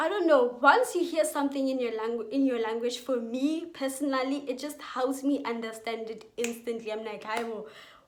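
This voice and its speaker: A woman's high-pitched voice at a moderate pace, with ordinary pitch variation and audible room echo. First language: Setswana and Sepedi. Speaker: youtuber giving school advice. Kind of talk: casual vlog advice.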